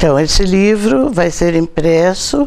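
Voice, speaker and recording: There is noticeable noise in the background. The room adds an audible echo. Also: woman. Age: 80s+. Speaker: catechist and book author. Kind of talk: TV interview.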